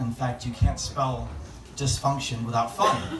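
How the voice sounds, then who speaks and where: A man with an American accent speaks, with audible room echo. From Cleveland, Ohio. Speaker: stand-up comedian. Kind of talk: stand-up. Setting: stage with audience.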